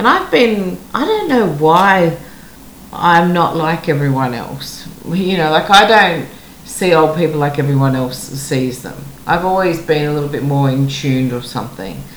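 In an Australian accent, a woman speaks at a moderate pace with a very deep, low pitch, amid noticeable background noise and audible room echo. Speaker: podcast host. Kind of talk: interview.

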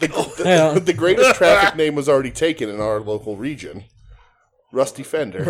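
A man's fairly high pitch with vocal fry and very wide pitch swings. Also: moderate pace. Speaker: podcast co-host.

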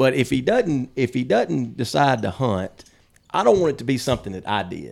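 With a Mississippi accent, a man talks at a moderate pace in a medium-pitched voice with vocal fry and lively intonation. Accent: Southern US (Mississippi). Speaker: hunting podcast co-host. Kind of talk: casual chat.

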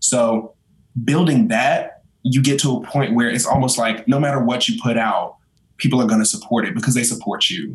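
A man at medium pitch talks in an unremarkable speaking voice. His intonation is fairly even and his pace moderate. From North Carolina. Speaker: content creator. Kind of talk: casual chat.

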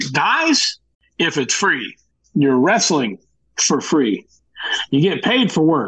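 A man with a fairly high pitch, vocal fry and very wide pitch swings, speaking at a very slow pace with long, frequent pauses and very even loudness. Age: 40s. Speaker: professional wrestler. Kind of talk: casual interview chat. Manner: halting, repeats words.

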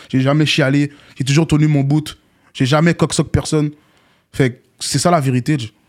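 A man with a fairly high pitch talks in a monotone, flat way at a moderate pace, with very even loudness and long, frequent pauses. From Montréal, Quebec. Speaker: rapper. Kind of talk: casual interview.

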